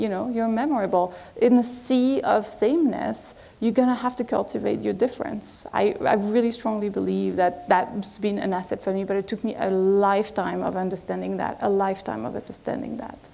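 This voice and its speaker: With a French accent, a woman talks at a fairly quick pace with hardly any pauses. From France. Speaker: agency executive. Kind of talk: lecture.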